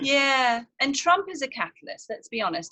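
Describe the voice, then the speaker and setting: Here a woman speaks with a southern English accent. Her intonation is lively and her pace moderate. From southern England, near Brighton. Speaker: actress. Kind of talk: casual interview chat. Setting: outdoors.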